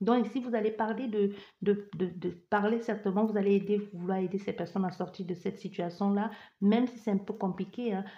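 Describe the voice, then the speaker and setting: Somewhat breathy, a woman talks at a fairly quick pace in a monotone, flat intonation. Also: medium pitch for a woman. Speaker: tarot card reader. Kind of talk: psychic reading. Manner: fast; barely pausing for breath.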